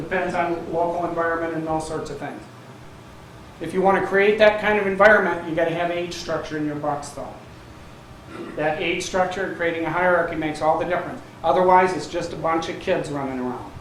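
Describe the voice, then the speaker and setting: Loud and with an American accent, a man speaks at a fairly quick pace in a high pitch with fairly even intonation, amid noticeable background noise and audible room echo. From Michigan. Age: 60s. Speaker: retired scientist and deer hunter. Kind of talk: presentation.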